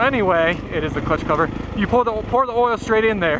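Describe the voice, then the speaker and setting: The speech runs at a fairly quick pace. Noticeable background noise can be heard. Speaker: dirt bike vlogger. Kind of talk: casual vlog narration while riding. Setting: outdoors on a trail. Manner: rambling, mumbling.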